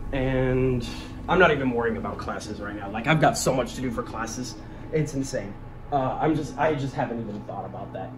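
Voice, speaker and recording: Noticeable background noise sits behind the speaker. A man talks at a fairly quick pace. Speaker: college student vlogger. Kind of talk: casual vlog chat. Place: home room. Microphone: phone near.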